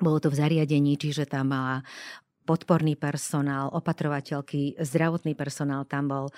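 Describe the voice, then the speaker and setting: A woman's very deep, low voice with a dark, mellow tone and fairly even intonation, dry and close with no echo, in a very clean recording with a silent background. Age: 60s. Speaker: death doula, former TV presenter. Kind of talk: interview. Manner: halting.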